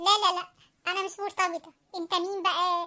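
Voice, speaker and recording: A woman puts on a cartoonish character voice, squeaky and extremely high in pitch. It stays monotone with flat intonation at a moderate pace. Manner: flustered, jumpy.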